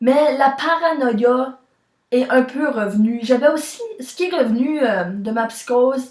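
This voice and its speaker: Pitched high and varying in an ordinary way, a woman's voice moves at a very slow pace. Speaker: vlogger. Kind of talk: personal vlog.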